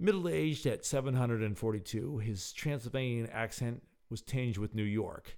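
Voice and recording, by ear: Natural reading-aloud voice with ordinary pitch variation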